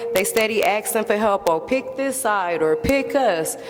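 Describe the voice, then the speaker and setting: A woman's moderately paced speech comes through with noticeable noise behind it. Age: 30s. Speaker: member of the public. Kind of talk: public testimony. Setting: public hearing. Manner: impassioned.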